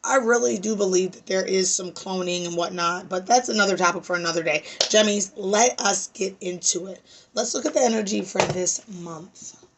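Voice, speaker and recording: A woman speaks at a moderate pace with big swings in loudness, over noticeable background noise. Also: medium pitch for a woman, ordinary pitch variation. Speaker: astrology reader. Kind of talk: tarot reading monologue. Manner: loud, passionate; casual, filler-heavy.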